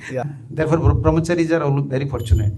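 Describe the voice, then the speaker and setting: The man rushes along at a very fast pace, his pitch swinging very widely. Noticeable background noise is behind him. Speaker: monk and spiritual teacher. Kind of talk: religious lecture.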